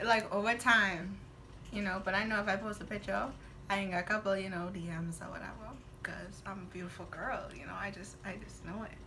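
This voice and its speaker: Amid noticeable background noise and audible room echo, a woman at medium pitch speaks at a fairly quick pace with fairly even intonation and big swings in loudness. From Bahamas. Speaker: guest, twin sister of host. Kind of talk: casual chat.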